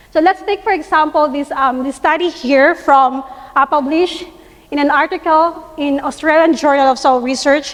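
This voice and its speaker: A woman with a high pitch talks at a moderate pace with fairly even intonation. Noticeable background noise runs underneath. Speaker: soil science researcher. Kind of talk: conference presentation.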